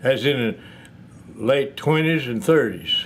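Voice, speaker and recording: A man with a West Tennessee accent at a fairly slow pace. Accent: US Southern (West Tennessee). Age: 90s. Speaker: retired piano tuner and music seller. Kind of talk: interview. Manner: halting.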